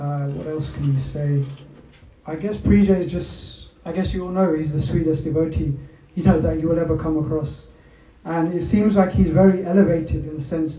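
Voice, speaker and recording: Fairly even intonation and a fairly quick pace come from a man of fairly high pitch, heard over noticeable background noise. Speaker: devotee friend giving testimony. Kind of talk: testimony.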